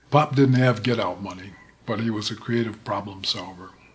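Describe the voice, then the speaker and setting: Music plays in the background as a man speaks with fairly even intonation. The room echo is audible. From Davenport, Iowa (born in Alabama). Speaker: storyteller. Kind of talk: storytelling. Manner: subtle inflections.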